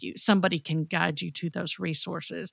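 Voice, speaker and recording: A woman's fairly low-pitched voice, a normal speaking voice at a moderate pace, dry and close with no echo, on a very clean recording with a silent background. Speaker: podcast co-host.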